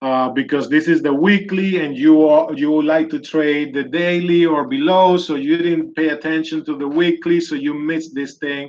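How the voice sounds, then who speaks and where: With a Spanish accent, a man speaks at a fairly high pitch. His pace is moderate and his intonation fairly even. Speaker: trading educator. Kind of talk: live market analysis tutorial. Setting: live video session.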